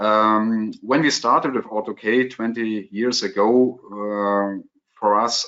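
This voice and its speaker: A man with a German accent speaks at a fairly slow pace in a fairly low pitch, with fairly even intonation. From Germany. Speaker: contact lens specialist. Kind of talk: webinar Q&A. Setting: online webinar. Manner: halting, many fillers.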